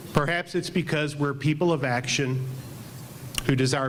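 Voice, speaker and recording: Over noticeable background noise and audible room echo, a man talks at a moderate pace in a medium pitch. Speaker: club president, school head. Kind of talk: meeting emcee remarks. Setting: club meeting with audience. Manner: loud.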